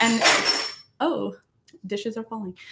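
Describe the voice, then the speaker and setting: A woman's fairly high voice at a moderate pace. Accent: Maritimes. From Nova Scotia, Canada. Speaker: musician and YouTuber doing covers. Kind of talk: casual livestream chat reading comments. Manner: casual, hesitant with fillers.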